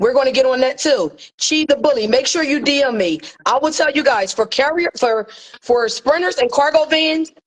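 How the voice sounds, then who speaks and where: With lively intonation and very even loudness, a woman speaks in a high voice. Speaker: courier business mentor. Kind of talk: live stream tutorial. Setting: livestream with co-host. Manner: fast.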